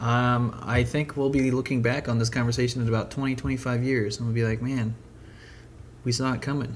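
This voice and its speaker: At a moderate pace, a man speaks at a medium pitch in a monotone, flat intonation. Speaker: podcast host and web developer. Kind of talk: casual chat. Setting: secret podcast location with wine.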